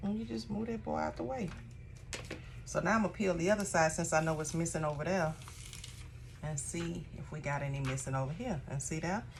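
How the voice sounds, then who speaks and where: A woman's very deep, low voice, relaxed in tone and lively in intonation, at a fairly quick pace with long, frequent pauses, amid audible room echo and noticeable background noise. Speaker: craft tutorial creator, small shop owner. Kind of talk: tutorial. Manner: casual, chatty; lowered, relaxed voice.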